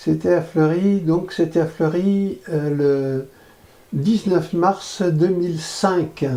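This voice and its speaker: A man with a high pitch and a dark, mellow tone speaks at a very slow pace, his intonation fairly even and his loudness very even. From France, Corrèze. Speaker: interviewee, former activist. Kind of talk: testimony. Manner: halting.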